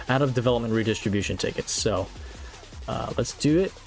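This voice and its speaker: A man speaks at a medium pitch and a fairly quick pace with lively intonation, and music plays in the background. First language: not English. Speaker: mobile game streamer. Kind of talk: live stream commentary. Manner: casual, chatty.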